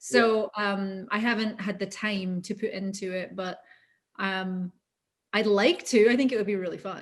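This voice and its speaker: A woman with a Scottish accent at a medium pitch and moderate pace, with fairly even intonation on a very clean recording with a silent background. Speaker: voice actor. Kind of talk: interview.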